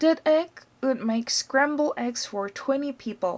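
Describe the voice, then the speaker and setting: A woman uses a put-on character voice with a high pitch. She talks at a fairly slow pace. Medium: read story.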